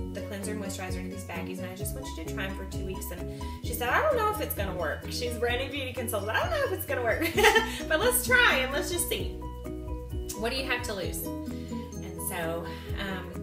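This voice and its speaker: Over loud music in the background, a woman talks at a very fast pace. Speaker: sales consultant telling her story. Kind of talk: casual storytelling to camera. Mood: lively, humorous. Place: home room.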